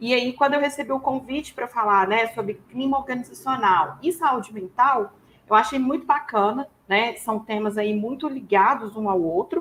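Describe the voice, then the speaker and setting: With a Minas Gerais accent, a woman speaks at a moderate pace in a fairly high voice with lively intonation. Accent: Minas Gerais (mineiro). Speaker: HR professional and psychologist. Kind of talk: webinar presentation. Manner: casual, filler-heavy.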